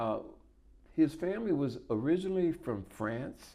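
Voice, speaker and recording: A man's fairly slow delivery comes through over a quiet background. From south Louisiana, Houma community (Terrebonne area). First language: Louisiana French. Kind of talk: oral history interview. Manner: halting.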